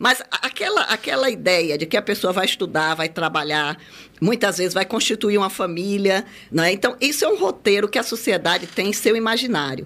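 Speaking at a moderate pace in an ordinary speaking voice, a woman with a medium pitch uses lively intonation and keeps her loudness very even. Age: 60s. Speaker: lawyer and senior-care network founder. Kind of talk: radio interview.

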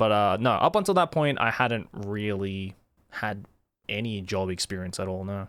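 Here a man speaks with an Australian accent. The recording is very clean, with a silent background. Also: fairly low pitch for a man, ordinary pitch variation, moderate pace. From Australia, Sydney. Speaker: YouTuber and voice actor. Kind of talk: casual interview.

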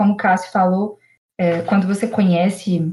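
A woman talks at a moderate pace and medium pitch, sounding somewhat breathy. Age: 20s. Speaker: programmer and traveller. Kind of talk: casual chat.

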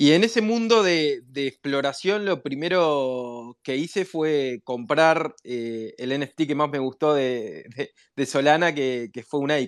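In a very clean recording with a silent background, a man speaks very slowly with lively intonation. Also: fairly high pitch for a man, hardly any pauses. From Uruguay. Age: 40s. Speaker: entrepreneur, NFT project founder. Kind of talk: interview.

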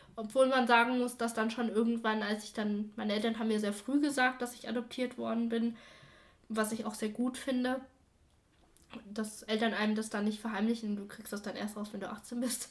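Somewhat breathy and fairly high, the woman's voice stays monotone and flat throughout. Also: moderate pace. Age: 20s. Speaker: adoptee sharing her story. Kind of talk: interview.

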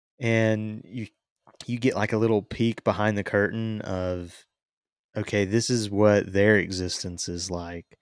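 A man with a normal speaking voice talks at a fairly slow pace, pitched fairly low. His intonation stays fairly even, and the recording is very clean with a silent background. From western North Carolina. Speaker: podcast host. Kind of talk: casual chat.

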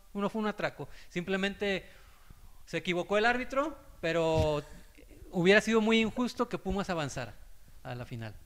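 Lively intonation and a moderate pace from a man with a high pitch. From Mexico, Acapulco, Guerrero. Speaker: sports journalist. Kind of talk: casual chat.

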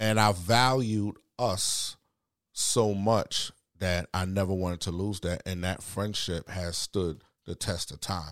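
In a very clean recording with a silent background, a man with a Bronx accent speaks at a very deep, low pitch. His pace is very slow and his intonation fairly even. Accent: New York, Bronx. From the Bronx, New York. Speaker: guest. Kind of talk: casual chat. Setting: studio.

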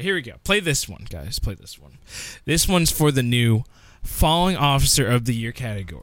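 On a very clean recording with a silent background, a man at medium pitch talks fairly quickly, with very wide pitch swings and big swings in loudness. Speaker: awards host. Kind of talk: comedy awards-show host bit. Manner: loud, excitable, mock-pompous, gleefully over the top.

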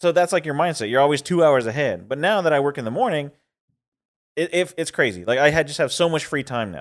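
At a very fast pace, a man talks in a fairly high pitch on a very clean recording with a silent background. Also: lively intonation. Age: 30s. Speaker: podcast co-host. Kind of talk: casual chat.

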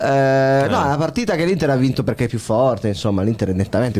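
A man with a dark, mellow tone. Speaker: football podcaster. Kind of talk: casual chat.

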